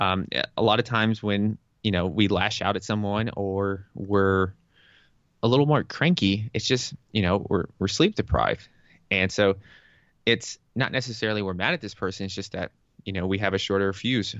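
A plain, everyday voice with an American accent talks at a moderate pace with ordinary pitch variation. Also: man, fairly low pitch for a man. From US South, Tennessee. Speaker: fitness and health coach. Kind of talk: casual interview.

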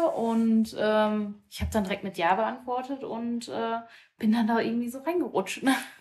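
At a moderate pace, a somewhat breathy voice speaks with ordinary pitch variation. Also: woman. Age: 20s. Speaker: amateur women's football player. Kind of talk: casual chat.

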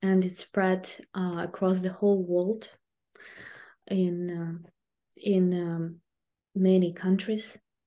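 Against a quiet background, a woman with a Ukrainian accent speaks very slowly with long, frequent pauses, her medium-pitched voice dark and mellow in tone and her intonation monotone and flat. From southern Ukraine, Kherson region. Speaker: language teacher and online video host. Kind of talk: interview. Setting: remote call from Ukraine. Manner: halting, many fillers.

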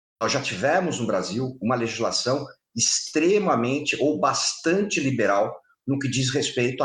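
In a room with audible echo, a man with a somewhat breathy, medium-pitched voice talks at a fairly slow pace with lively intonation. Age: 50s. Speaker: public security expert and firearms instructor. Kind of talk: interview.

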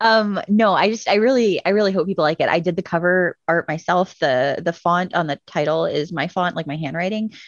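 A woman with a fairly low pitch and an unremarkable speaking voice moves at a fairly quick pace, with hardly any pauses and ordinary pitch variation. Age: 30s. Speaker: children's book author and artist. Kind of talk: casual chat.

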